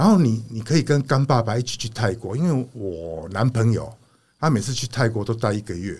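A man's somewhat breathy voice at a medium pitch, fairly quick in pace with ordinary pitch variation, on a very clean recording against a silent background. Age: 60s. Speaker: retired factory owner. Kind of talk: casual interview chat.

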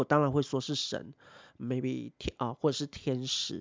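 The speaker has a Taiwanese accent. The pace is moderate. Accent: Taiwanese Mandarin. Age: 30s. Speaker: podcast host. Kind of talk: casual solo talk.

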